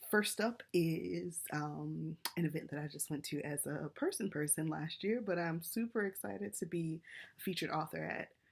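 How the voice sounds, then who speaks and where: Using vocal fry, a woman speaks at a fairly low pitch and a moderate pace with ordinary pitch variation. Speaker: romance author and book vlogger. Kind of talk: casual vlog recap. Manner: hesitant, many fillers.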